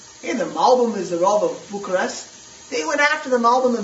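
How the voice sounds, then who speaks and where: Over noticeable background noise, a man with an American accent talks fairly quickly at an extremely high pitch. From US East Coast. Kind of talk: lecture.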